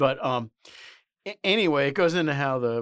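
At a moderate pace, a man with an unremarkable speaking voice and lively intonation comes through dry and close with no echo, on a very clean recording with a silent background. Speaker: podcast co-host. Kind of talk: casual political commentary podcast. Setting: studio.

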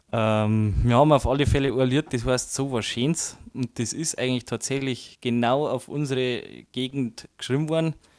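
Moderate pace and medium pitch from a man with a Bavarian accent, fairly even intonation, in a very clean recording with a silent background. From Bavaria, Chiemgau. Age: 20s. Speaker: musician. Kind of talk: interview.

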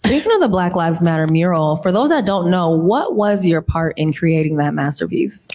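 Talking at a fairly quick pace with hardly any pauses, a woman keeps her loudness very even and her pitch variation ordinary, against noticeable background noise. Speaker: talk show host. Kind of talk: live interview talk show. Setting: stage with audience. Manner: animated.

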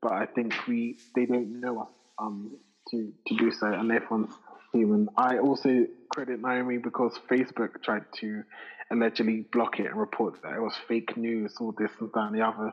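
A man's medium-pitched voice, monotone and flat, at a moderate pace. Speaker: podcast co-host. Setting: remote recording.

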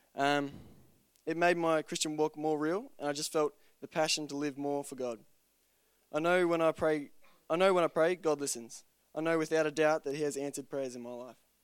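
A man with an Australian accent and a fairly high pitch, at a fairly quick pace broken by long, frequent pauses, in a dry, close sound with no echo. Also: fairly even intonation, very clean recording, silent background. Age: 20s. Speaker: church member being baptized. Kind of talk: testimony. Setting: church.

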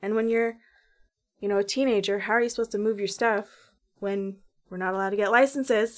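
A woman with a Canadian accent speaks at a very fast pace with fairly even intonation, leaving long, frequent pauses, on a very clean recording with a silent background. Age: 20s. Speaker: former youth in care, youth advocate. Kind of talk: podcast interview.

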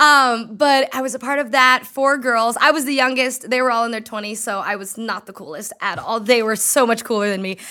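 Fairly high in pitch, a woman speaks at a fairly quick pace with hardly any pauses, using ordinary pitch variation. Her tone is animated, bright and sharp, and her loudness swings widely. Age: 20s. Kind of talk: casual chat.

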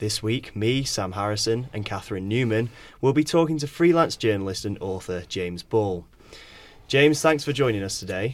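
In a plain, everyday voice, a man talks at a moderate pace and medium pitch with lively intonation. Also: very clean recording, silent background. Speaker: student podcast host. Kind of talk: interview questions.

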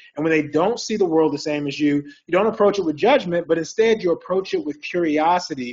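This man's high-pitched speech shows ordinary pitch variation. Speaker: psychologist and keynote speaker. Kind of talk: presentation. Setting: video call.

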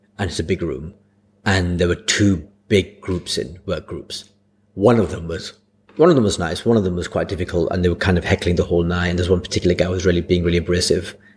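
A man speaks at a very fast pace in a very deep, low pitch, somewhat breathy and with fairly even intonation, in a very clean recording with a silent background. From Blackburn, Lancashire, northern England. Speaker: comedian. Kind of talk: casual chat.

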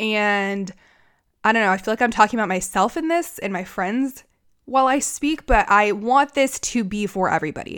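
A woman with an American accent speaks in a plain, everyday voice at a fairly high pitch, in a very clean recording with a silent background. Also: lively intonation, moderate pace. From United States. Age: 20s. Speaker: podcast host. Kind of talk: casual monologue. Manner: casual, chatty with filler words.

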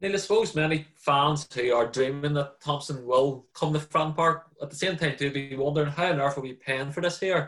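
A plain, everyday voice at a moderate pace with hardly any pauses and fairly even intonation. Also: man, fairly high pitch for a man. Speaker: sports journalist and podcast host. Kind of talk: casual sports podcast chat.

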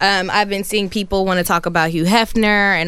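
A woman's plain, everyday voice, at a moderate pace with ordinary pitch variation. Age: 30s. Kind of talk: casual chat.

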